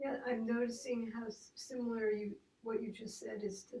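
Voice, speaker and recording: A woman speaks at a fairly slow pace, somewhat breathy. Her pitch is fairly high, and her intonation is monotone and flat. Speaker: congregant. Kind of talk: group discussion. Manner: hesitant.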